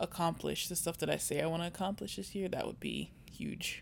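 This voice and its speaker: A woman speaks at a fairly quick pace. The recording is very clean, and the background is silent. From Virginia. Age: 20s. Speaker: podcast co-host, engineer. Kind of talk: casual chat.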